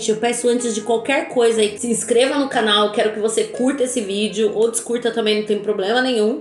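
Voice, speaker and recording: Noticeable background noise fills the recording. Through it, a woman talks in an animated tone. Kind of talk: religious teaching vlog. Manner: voice breaking with emotion.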